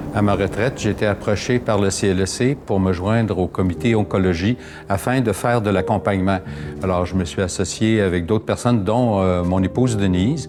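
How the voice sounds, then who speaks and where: A fairly low-pitched man speaks at a moderate pace with ordinary pitch variation. His loudness stays very even, with music playing in the background. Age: 70s. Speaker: retired social worker, palliative care volunteer. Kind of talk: interview. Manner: hesitant, many filler sounds.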